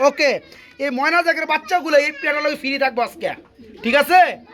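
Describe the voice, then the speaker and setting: A man's raised, projected voice at an extremely high pitch, with fairly even intonation and noticeable background noise. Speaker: pigeon vlogger visiting a farm. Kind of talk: vlog-style sales walkthrough. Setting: pigeon farm.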